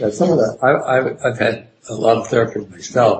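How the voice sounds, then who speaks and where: Somewhat breathy speech at a moderate pace. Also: man. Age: 70s. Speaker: psychotherapist and trainer. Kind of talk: interview conversation.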